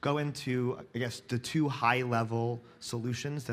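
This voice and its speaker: Ordinary pitch variation from a man. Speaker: conference speaker. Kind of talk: lecture. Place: stage.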